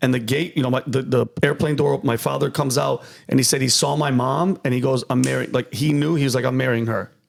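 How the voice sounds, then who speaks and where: With an American accent, a man rattles along at a very fast pace with hardly any pauses, an animated tone, vocal fry and very even loudness. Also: medium pitch for a man. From US Northeast (Yonkers, New York; New Britain, Connecticut). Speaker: comedian. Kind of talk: casual chat.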